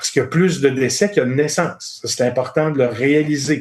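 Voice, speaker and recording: This is an unremarkable speaking voice. The man's pitch sits fairly high. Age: 60s. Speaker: finance executive. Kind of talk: podcast interview.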